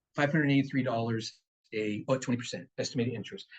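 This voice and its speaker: Somewhat breathy and animated, the voice carries an American accent. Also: man. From Richmond, California. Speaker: guest speaker on finance and investing. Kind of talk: seminar talk to a live audience. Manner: fast.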